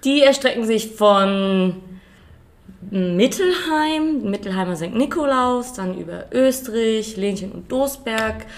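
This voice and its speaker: This woman has a fairly high voice with lively intonation and big swings in loudness. She speaks at a very slow pace, and room echo is audible. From Germany, Rheingau (Hesse). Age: 20s. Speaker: winemaker. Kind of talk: casual interview. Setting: at a winery.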